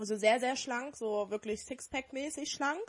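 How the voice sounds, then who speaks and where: This woman has a fairly high pitch, ordinary pitch variation and a moderate pace. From Dortmund, Germany. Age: 20s. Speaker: podcast co-host. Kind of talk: casual chat.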